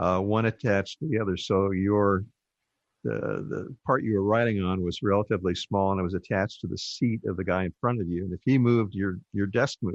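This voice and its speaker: Fairly low-pitched man with a Californian accent, fairly quick pace and ordinary pitch variation, dry close sound with no echo, quiet background. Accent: General American (Californian). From US West, Southern California (Burbank). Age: 70s. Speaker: ham radio educator, interview guest. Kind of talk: interview. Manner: halting, with fillers.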